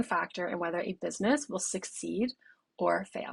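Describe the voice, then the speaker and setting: A woman speaks with vocal fry in an American accent. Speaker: brand designer. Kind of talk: recorded presentation.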